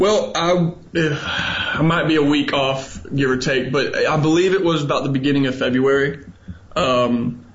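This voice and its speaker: A man with a fairly high pitch and ordinary pitch variation, amid noticeable background noise and audible room echo. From Alabama, Huntsville. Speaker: English teacher abroad. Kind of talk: radio interview.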